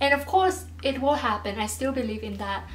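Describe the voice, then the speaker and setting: Audible room echo surrounds a woman speaking at a moderate pace with a non-native accent. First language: not English. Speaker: YouTuber. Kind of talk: advice vlog. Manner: casual, halting.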